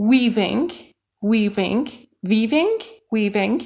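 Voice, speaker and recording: Speaking very slowly, a woman uses a fairly high pitch with ordinary pitch variation and a somewhat breathy sound. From Iran. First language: Persian. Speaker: streamer and game modder. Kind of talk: live stream commentary. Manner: casual, chatty.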